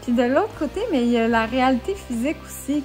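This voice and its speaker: Over music in the background, a woman talks in a high voice with a Quebec accent. Her pace is fairly slow. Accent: Québécois French. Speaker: author, YouTuber. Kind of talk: casual talk to camera.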